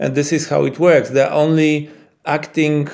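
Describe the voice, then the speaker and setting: A man speaks with a Polish accent. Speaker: epileptologist. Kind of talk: interview. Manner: halting.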